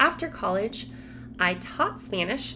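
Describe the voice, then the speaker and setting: Over music in the background and with audible room echo, a woman with an American accent talks at a moderate pace and medium pitch. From Colorado, US. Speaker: Spanish teacher. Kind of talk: casual vlog talk to camera.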